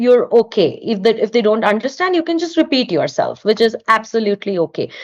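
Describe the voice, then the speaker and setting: With an Indian accent, a woman speaks with a fairly high pitch and lively intonation. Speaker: artist and studio owner. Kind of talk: podcast interview.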